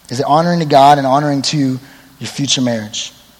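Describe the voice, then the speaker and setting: Noticeable background noise beneath a voice with ordinary pitch variation. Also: man. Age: 20s. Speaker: youth pastor. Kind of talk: sermon. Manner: casual, conversational.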